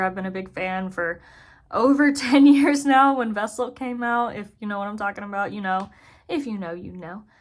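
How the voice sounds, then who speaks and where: A woman's medium pitch with ordinary pitch variation, on a very clean recording with a silent background. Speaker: zookeeper and video creator. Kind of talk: casual chat. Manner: fast.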